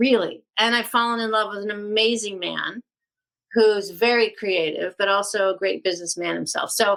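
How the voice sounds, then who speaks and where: A woman with a plain, everyday voice speaks at medium pitch and a moderate pace, keeping her intonation fairly even. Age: 60s. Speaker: actress and author. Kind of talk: casual chat. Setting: podcast.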